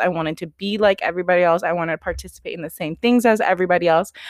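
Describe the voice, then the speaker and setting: A woman's fairly low voice in a Californian accent, with ordinary pitch variation. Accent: Californian American English. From US West Coast (Sacramento area, California). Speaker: podcast host. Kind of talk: casual solo monologue.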